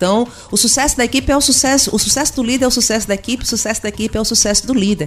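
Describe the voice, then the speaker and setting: A woman speaks in a fairly high voice. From Pernambuco, Brazil (Agreste). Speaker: customer service consultant and speaker. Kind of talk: radio interview. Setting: studio.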